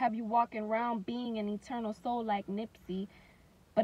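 A woman's voice, fairly high pitch and somewhat breathy, comes at a moderate pace with fairly even intonation. The sound is dry with no echo. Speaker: spoken word poet. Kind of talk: spoken word poetry performance. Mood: earnest, reflective, defiant. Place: car. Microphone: phone near.

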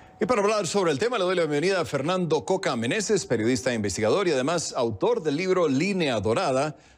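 Talking at a fairly quick pace, a man with a fairly high voice makes very wide pitch swings. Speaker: news anchor. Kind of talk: news reading. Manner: formal, steady newsreader delivery. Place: studio. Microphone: lapel.

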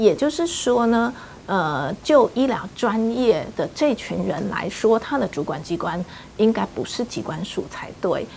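Over light background noise, a woman with a fairly high pitch speaks at a fairly slow pace, her voice making very wide pitch swings. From Taiwan. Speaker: HIV rights advocacy group leader; interviewee. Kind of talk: interview. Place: home room.

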